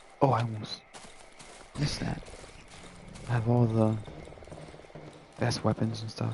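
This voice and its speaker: Over noticeable background noise, a man at medium pitch talks in a monotone, flat intonation with long, frequent pauses. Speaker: gamer streamer. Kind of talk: casual chat. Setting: live stream.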